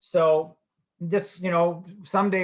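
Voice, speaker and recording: An unremarkable speaking voice from a man, fairly high-pitched with fairly even intonation. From Canada, Edmonton, Alberta. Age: 60s. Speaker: sports medicine physician. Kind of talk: webinar lecture. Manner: casual, joking.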